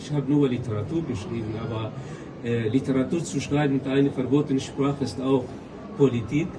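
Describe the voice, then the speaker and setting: A man of medium pitch at a fairly quick pace, with noticeable background noise. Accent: Kurdish. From Syria, Kurdish. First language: Kurdish (speaking German). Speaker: novelist. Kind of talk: interview. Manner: halting, many hesitations.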